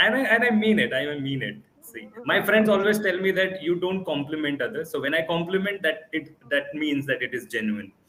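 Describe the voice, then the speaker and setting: The talking moves fairly quickly while noticeable noise runs in the background. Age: 20s. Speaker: communication coach. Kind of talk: casual chat.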